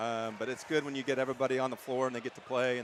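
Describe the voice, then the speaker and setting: Loud and very fast, a man speaks at medium pitch in a monotone, flat delivery over noticeable background noise. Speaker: basketball coach. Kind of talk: post-game interview. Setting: gym.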